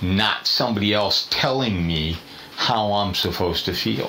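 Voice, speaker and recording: Over noticeable background noise and audible room echo, a man with a very deep, low pitch speaks at a fairly slow pace. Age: 60s. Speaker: podcast panelist. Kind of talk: casual chat. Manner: animated.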